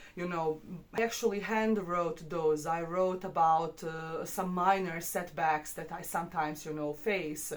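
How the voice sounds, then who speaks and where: With a non-native accent, a woman speaks at a fairly slow pace and with fairly even intonation, and there is audible room echo. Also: fairly low pitch for a woman. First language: not English. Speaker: English teacher. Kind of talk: tutorial. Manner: hesitant, many fillers.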